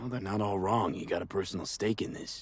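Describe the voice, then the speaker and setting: A man puts on a raspy character voice with a fairly low pitch. He talks at a very fast pace. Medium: video game. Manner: casual, questioning.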